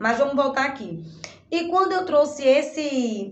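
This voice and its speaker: Audible room echo surrounds the voice. The woman's intonation is lively. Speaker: online course teacher. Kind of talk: recorded lesson summary. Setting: in her shop. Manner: halting.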